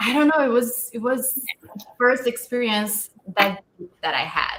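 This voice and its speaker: A woman with a non-native accent speaks at a fairly slow pace in a high voice, her intonation fairly even. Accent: noticeable non-native. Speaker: actor. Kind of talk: panel Q&A discussion.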